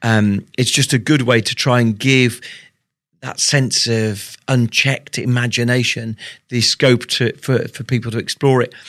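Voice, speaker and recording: A man with a British accent speaks at a moderate pace in a medium pitch, his intonation flat and monotone, on a very clean recording with a silent background. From Britain. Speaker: tech executive and author. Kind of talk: interview. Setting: university, in person.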